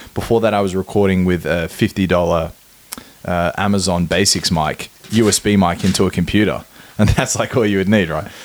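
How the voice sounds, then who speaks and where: Amid noticeable background noise, a man with a very deep, low pitch talks at a moderate pace with fairly even intonation. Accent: Australian. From Australia. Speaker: podcast host. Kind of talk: casual chat.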